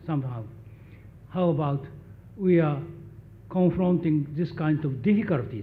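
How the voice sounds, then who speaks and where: A man speaks with lively intonation, with audible room echo around him. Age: 80s+. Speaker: graduation speaker, professor emeritus. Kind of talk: commencement speech. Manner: halting.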